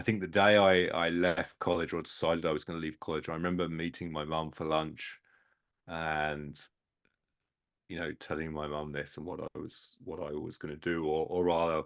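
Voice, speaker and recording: With a British accent, a man speaks at a moderate pace in a very deep, low pitch with monotone, flat intonation. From England. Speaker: sports industry headhunter and mentor. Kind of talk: podcast interview.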